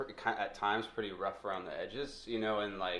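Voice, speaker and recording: In a normal speaking voice, a man with an American accent talks at a moderate pace and a fairly low pitch. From Montana. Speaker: podcast co-host. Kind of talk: casual chat.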